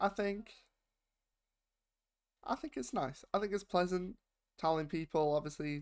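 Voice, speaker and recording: On a very clean recording with a silent background, a man with a British accent speaks at a fairly slow pace with ordinary pitch variation. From United Kingdom. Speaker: YouTube reaction host. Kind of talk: casual talk to camera.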